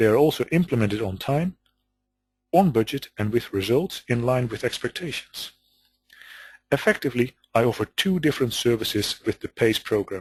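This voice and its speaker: A man with a Dutch accent speaks at medium pitch and a moderate pace, somewhat breathy, with lively intonation and long, frequent pauses. The sound is dry and close with no echo, over a quiet background. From Netherlands. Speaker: business consultant. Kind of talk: webinar presentation. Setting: webinar call.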